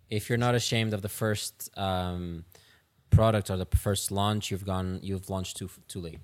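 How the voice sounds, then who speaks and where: Fairly low-pitched male voice at a moderate pace, fairly even intonation, very clean recording with a silent background. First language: not English. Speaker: podcast host. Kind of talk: interview conversation. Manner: halting.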